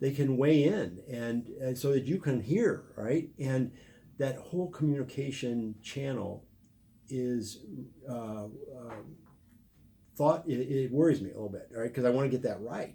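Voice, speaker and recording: Somewhat breathy, a man talks at a fairly slow pace with medium pitch and ordinary pitch variation. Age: 60s. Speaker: political candidate. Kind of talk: interview. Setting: live stream.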